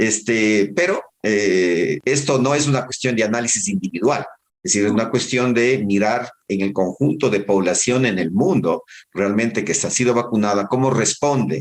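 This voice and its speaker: A man speaks at medium pitch and a moderate pace with lively intonation. His loudness stays very even. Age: 60s. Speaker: public health doctor. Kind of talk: interview. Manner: halting.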